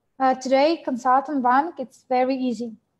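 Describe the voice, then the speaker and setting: Pitched high, a woman's voice moves at a fairly slow pace. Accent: non-native. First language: not English. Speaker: network marketing trainer. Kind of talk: webinar training presentation. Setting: video webinar. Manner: halting, many fillers.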